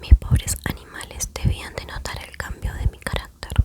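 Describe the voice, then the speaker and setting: Whispered speech from a woman, fairly slow, with noticeable background noise behind it. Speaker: ASMR creator. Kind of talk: ASMR story reading. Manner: whispered, soft-spoken.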